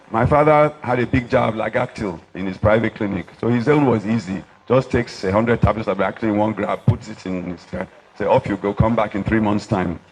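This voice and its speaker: Music plays in the background as a man speaks fairly quickly at a fairly low pitch with ordinary pitch variation. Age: 70s. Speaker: doctor. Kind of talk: speech at an award dinner.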